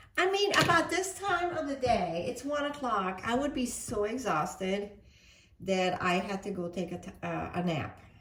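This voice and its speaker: A woman at medium pitch talks at a moderate pace, her pitch swinging very widely. The room echoes audibly and there is noticeable background noise. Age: 60s. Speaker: cooking vlogger. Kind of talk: cooking tutorial with personal chat. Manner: chatty, with fillers.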